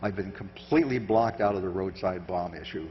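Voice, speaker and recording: A man with an American accent speaks at a moderate pace in a somewhat breathy voice. Room echo can be heard. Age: 70s. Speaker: surveillance countermeasures expert. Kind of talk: conference talk with Q&A. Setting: stage with audience. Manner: halting.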